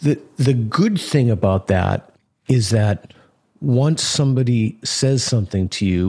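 A man with an American accent and a dark, mellow, somewhat breathy tone speaks at a moderate pace on a very clean recording with a silent background. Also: dry, close sound with no echo. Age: 50s. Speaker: philosophy professor. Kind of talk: interview conversation.

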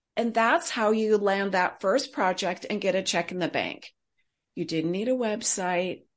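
Against a quiet background, a woman with an American accent talks in a normal speaking voice with ordinary pitch variation. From US West Coast, Silicon Valley. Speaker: consultant and author. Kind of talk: interview.

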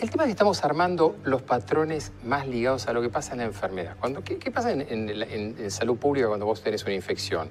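Over music in the background, the speaker races along at a very fast pace with lively intonation and hardly any pauses. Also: man, medium pitch for a man. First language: English (speaking Spanish). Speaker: forensic psychiatrist. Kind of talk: casual chat.

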